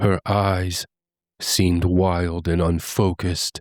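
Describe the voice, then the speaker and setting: In a very clean recording with a silent background, a man uses a put-on character voice that is very deep and low. His intonation is monotone and flat, and his pace is fairly slow. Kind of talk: horror narration. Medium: read story.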